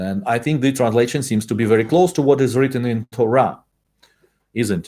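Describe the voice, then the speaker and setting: A man speaks with a Russian accent. His pitch varies in an ordinary way. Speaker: Torah teacher. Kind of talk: lecture. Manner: halting.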